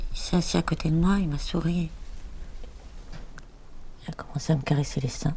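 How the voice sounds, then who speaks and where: The speaker talks at a moderate pace. There are long, frequent pauses. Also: woman. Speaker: actress. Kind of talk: acting demo reel scenes.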